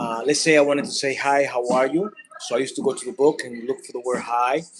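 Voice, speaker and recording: A man with a Spanish accent and a fairly high pitch at a moderate pace. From Dominican Republic. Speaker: content creator. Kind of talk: casual vlog monologue. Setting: cooking at home. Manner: halting, many fillers.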